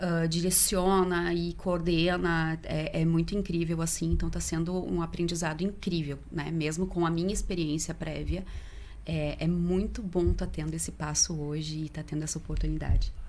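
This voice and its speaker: Audible room echo surrounds this woman as she talks at a moderate pace. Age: 30s. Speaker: volunteer and event co-organizer. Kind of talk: podcast interview.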